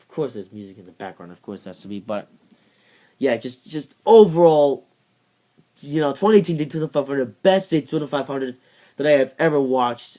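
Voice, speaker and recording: Fairly high in pitch with a dark, mellow tone, a man speaks with lively intonation, big swings in loudness, and long, frequent pauses. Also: fairly quick pace. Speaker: motorsport YouTuber. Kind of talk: casual video commentary. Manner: fast; rambling, hesitant with fillers.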